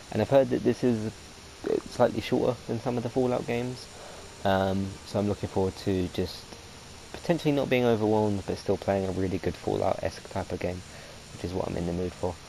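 There is noticeable background noise as a man talks at a fairly quick pace. His pitch is fairly low, with ordinary variation. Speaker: gaming video host. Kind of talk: let's play commentary. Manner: halting.

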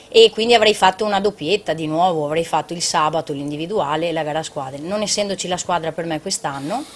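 Over light background noise, a woman speaks at a very fast pace with a fairly low pitch and ordinary pitch variation. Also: hardly any pauses. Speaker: triathlete; guest. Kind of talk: casual TV talk show. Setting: TV studio. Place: studio.

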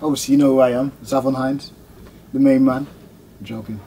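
A man talks very fast with fairly even intonation while light noise runs in the background. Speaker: new channel host. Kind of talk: casual vlog chat. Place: studio.

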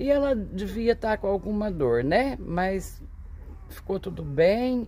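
With lively intonation, a woman delivers her words at a fairly slow pace. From Brazil. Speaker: vlogger, smallholder; vlogger. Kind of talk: casual vlog talk to camera. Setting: outdoors on a farm. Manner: animated. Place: farm. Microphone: phone near.

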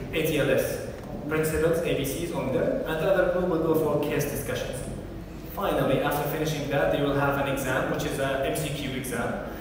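A man speaks at a fairly quick pace with fairly even intonation. Strong room echo and noticeable background noise fill the recording. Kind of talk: lecture. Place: hall. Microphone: camera far.

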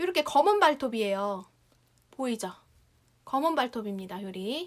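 A woman with a high pitch and an animated tone, very wide pitch swings and a moderate pace against a quiet background. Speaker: shopping show host. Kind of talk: live sales pitch. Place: home room. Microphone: lapel.

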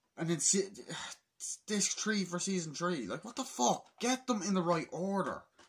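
Lively intonation marks this man's high-pitched voice. He speaks at a moderate pace over a quiet background. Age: 20s. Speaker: YouTuber, film fan. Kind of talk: casual vlog rant. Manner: animated. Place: home room. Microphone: phone near.

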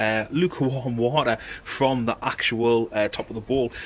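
A British accent over light background noise. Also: man. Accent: regional British dialect. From United Kingdom. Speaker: bushcraft enthusiast. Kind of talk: casual talk to camera. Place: garden. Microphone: camera far.

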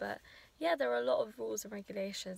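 A woman's voice, dry and free of any echo. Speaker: new dentist vlogger. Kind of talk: casual vlog chat. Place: car. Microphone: phone near.

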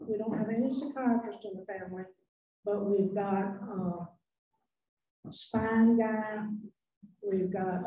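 A woman speaks at a fairly slow pace with long, frequent pauses. Light background noise and audible room echo surround her. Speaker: widow of a donor. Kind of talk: memorial speech. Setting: banquet hall with audience. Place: hall.

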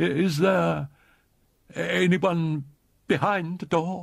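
A man puts on a character voice, high-pitched and shaky. He moves at a very slow pace with fairly even intonation. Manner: fearful, trembling.

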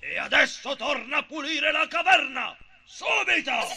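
A man performs a put-on character voice at an extremely high pitch. His pace is moderate. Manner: bossy, menacing.

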